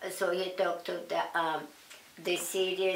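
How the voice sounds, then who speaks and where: A woman speaks at a fairly slow pace with a fairly low pitch and flat, monotone intonation. Noticeable background noise runs underneath. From Russia. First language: Russian. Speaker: Nazi concentration camp survivor. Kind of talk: interview answer.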